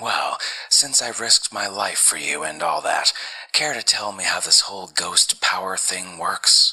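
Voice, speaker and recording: Speaking at a moderate speed, a man uses a put-on character voice. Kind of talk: 1940s radio acting. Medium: audio drama. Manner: blunt, wry, skeptical.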